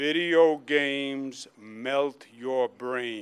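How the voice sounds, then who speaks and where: A man's put-on character voice at medium pitch. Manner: stern, authoritative.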